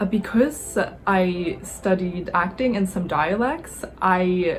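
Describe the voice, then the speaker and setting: A woman talks with an American accent at a medium pitch. There is noticeable background noise behind her. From New York. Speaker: English teacher and former actor. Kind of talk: vlog monologue. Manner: controlled voice; frequent fillers.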